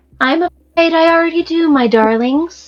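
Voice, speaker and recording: In a put-on character voice, a woman speaks at a moderate pace, squeaky and extremely high-pitched, with ordinary pitch variation. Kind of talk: old-world aristocratic elegance. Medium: actual play. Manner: silky, condescending, theatrical.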